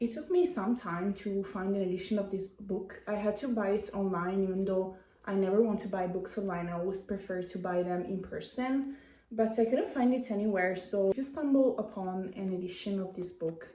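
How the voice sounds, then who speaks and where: A woman speaks at a medium pitch with a non-native accent. The recording has noticeable background noise and audible room echo. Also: ordinary pitch variation, moderate pace. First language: not English. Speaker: vlogger. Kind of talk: casual chat. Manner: halting.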